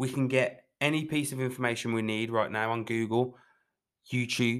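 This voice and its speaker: A man speaks at a moderate pace with a medium pitch. His tone is bright and sharp, and his intonation fairly even. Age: 20s. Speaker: fitness coach podcast host. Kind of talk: motivational solo talk.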